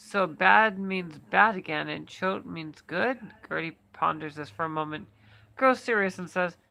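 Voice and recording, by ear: The clip is reading aloud in a natural voice, its pitch varying in an ordinary way.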